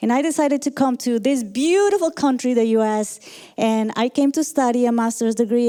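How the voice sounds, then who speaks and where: A woman with a Colombian accent speaks at a moderate pace in a high pitch with a dark, mellow tone. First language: Spanish. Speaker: motivational speaker and leadership coach. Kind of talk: motivational talk.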